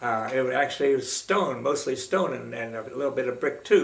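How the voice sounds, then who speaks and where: Room echo is audible as a man talks through noticeable background noise. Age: 90s. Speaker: retired teacher recounting his life. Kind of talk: oral history interview. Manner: halting, many fillers.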